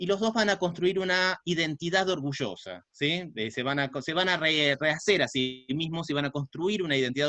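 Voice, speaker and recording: A man talks at a fairly quick pace with a fairly high pitch, lively intonation and a bright, sharp tone. The sound is dry and close with no echo, over a quiet background. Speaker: sociology professor and researcher. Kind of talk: online talk/lecture. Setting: video call. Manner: hesitant, many filler 'eh'.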